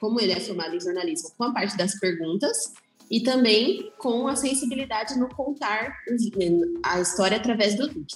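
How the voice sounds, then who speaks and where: A woman's fairly high-pitched voice with lively intonation over music in the background. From interior of São Paulo state, Brazil. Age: 20s. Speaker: photographer. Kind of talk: casual chat.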